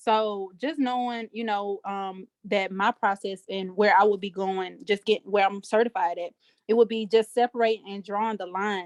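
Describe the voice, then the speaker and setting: A woman with a Southern US accent talks at a moderate pace and medium pitch with fairly even intonation and hardly any pauses, her loudness swinging widely, the sound dry and close with no echo over a quiet background. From US South, Alabama. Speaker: aspiring life coach, mentor to young women. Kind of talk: group Q&A video call. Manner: halting, many fillers.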